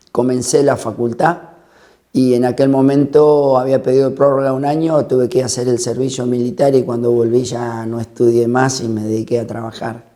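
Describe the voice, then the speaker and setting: Fairly even intonation marks this man's dark, mellow voice. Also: medium pitch for a man, moderate pace. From Argentina, La Pampa (General Pico). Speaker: interviewee. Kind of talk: personal testimony.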